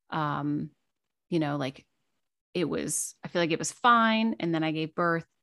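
This woman has an unremarkable speaking voice pitched fairly low. Her intonation is lively. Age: 30s. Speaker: podcaster and new mother. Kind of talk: casual interview.

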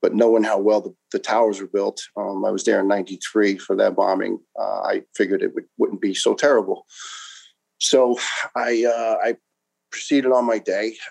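A man in a New York accent at a moderate pace, with a dry, close sound and no echo. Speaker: retired firefighter. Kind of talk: interview testimony. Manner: talkative.

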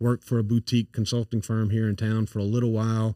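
A man with a strong Louisiana accent speaks at a fairly low pitch in a dark, mellow tone. The recording is very clean and dry, close-miked with no echo and a silent background. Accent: thick Louisiana Cajun-area Southern. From Louisiana, Acadiana (St. Landry Parish). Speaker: CEO and founder of consulting firm. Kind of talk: casual podcast interview.

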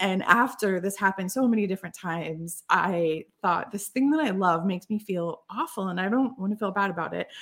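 A woman with a normal speaking voice at a fairly quick pace. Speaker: storytelling consultant and author. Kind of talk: interview.

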